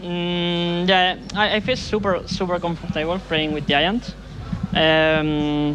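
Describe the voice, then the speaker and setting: Speaking very slowly in a high voice with fairly even intonation, a man is heard over noticeable background noise. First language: Spanish. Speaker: esports pro player. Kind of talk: post-match interview. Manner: halting, many fillers.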